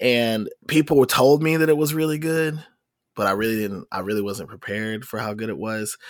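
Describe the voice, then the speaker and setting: Heard in a very clean recording over a silent background, an unremarkable speaking voice moves at a moderate pace with ordinary pitch variation. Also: man. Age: 30s. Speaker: nerdcore rapper and trombonist. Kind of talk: casual chat.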